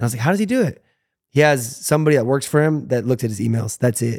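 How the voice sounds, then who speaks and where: On a very clean recording with a silent background and a dry, close sound with no echo, a man with an American accent uses a normal speaking voice with ordinary pitch variation. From United States. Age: 30s. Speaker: former YouTuber and pro football player. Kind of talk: casual chat.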